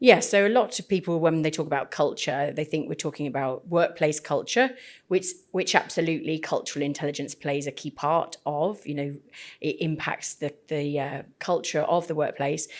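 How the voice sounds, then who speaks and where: A very deep, low female voice with a British accent, at a moderate pace and with ordinary pitch variation, on a very clean recording with a silent background. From UK. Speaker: podcast host, cultural intelligence trainer. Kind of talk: podcast interview.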